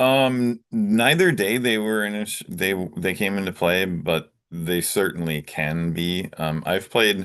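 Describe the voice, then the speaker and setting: In a quiet background, a man with a normal speaking voice talks fairly slowly at a fairly low pitch, with ordinary pitch variation and hardly any pauses. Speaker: card game tournament player. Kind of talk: interview.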